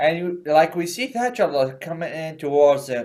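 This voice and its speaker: With a non-native accent, a man speaks at a fairly slow pace in a high pitch with a dark, mellow tone. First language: not English. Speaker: gaming YouTuber. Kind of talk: stand-up. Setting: home recording, seated. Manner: halting, many fillers and repeats.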